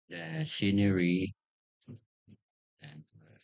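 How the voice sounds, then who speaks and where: The speaker is a man with a non-native accent and a somewhat breathy voice. His pitch swings very widely, and the sound is dry and close with no echo. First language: not English. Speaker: YouTuber. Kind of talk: tutorial. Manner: halting.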